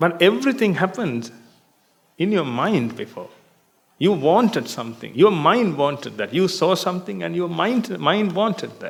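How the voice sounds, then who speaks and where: Speaking at a moderate pace with a non-native accent, a man uses a high pitch and very wide pitch swings, with audible room echo around him. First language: not English. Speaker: Buddhist monk teacher. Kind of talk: dharma talk. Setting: meditation retreat hall with audience.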